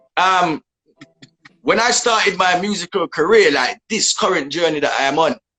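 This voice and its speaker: In a Jamaican accent, a man speaks at a moderate pace with a high pitch, lively intonation and very even loudness, the sound dry and close with no echo. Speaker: dancehall artist. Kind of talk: casual interview.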